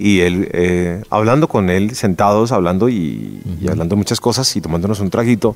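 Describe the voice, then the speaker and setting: A man talks at a fairly low pitch against noticeable background noise. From Colombia. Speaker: podcast host, former news presenter. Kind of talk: interview. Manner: hesitant, many fillers and repetitions.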